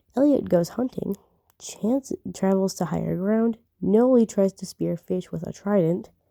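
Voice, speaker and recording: A woman speaks quietly and fairly slowly in a dark, mellow, medium-pitched tone with ordinary pitch variation. The sound is dry and close, with no echo. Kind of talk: reading aloud a game simulator with commentary. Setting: late at night, speaking quietly. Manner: halting, frequent self-corrections.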